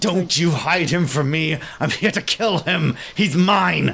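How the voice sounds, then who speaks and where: A man puts on a growling character voice at a high pitch. He speaks at a fairly slow pace. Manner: defiant, snarling, desperate.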